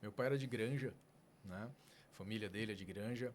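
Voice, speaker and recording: This man talks at a fairly quick pace, his pitch medium and its variation ordinary. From São Paulo until age 11, then Fortaleza, Brazil. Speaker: neurologist, medical school coordinator. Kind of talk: podcast interview.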